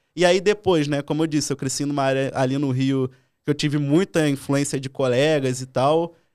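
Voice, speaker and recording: Fairly even intonation at a moderate pace in a plain, everyday voice. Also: man, fairly high pitch for a man. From Brazil, Rio de Janeiro (Leme area). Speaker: penetration tester. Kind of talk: casual interview. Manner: informal slang-heavy.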